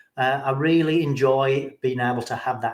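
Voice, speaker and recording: Fairly even intonation marks this speaker with an English accent. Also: man. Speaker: recovering alcoholic sharing his story. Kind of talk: interview, personal testimony. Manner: hesitant, many fillers and repeats.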